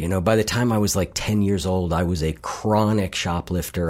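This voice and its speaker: A moderate pace in an American accent. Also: man. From US Midwest, Columbus, Ohio. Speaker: behavior coach and podcast host. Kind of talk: interview conversation.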